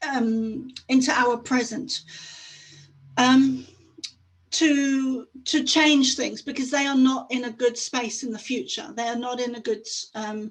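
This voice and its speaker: Very slowly and with long, frequent pauses, a woman speaks at a high pitch with fairly even intonation. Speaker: conference speaker. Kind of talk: talk. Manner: halting.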